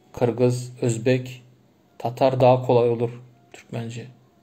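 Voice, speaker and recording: A man with a Turkmen accent speaks at a very slow pace and medium pitch, in a somewhat breathy voice with a dark, mellow tone. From Turkmenistan. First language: Turkmen (speaking Turkish). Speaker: livestream host, language enthusiast. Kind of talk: casual livestream chat answering comments. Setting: Instagram live stream. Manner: halting, many false starts.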